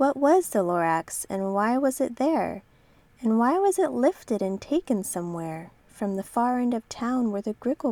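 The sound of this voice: It is an unforced reading voice. The intonation moves in a lively way.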